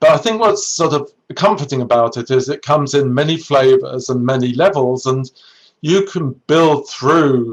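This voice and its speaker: At a moderate pace, a man speaks with a British accent in a fairly high pitch. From Britain. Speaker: neuroscientist and research executive. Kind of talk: career talk to students. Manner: halting, with many self-corrections.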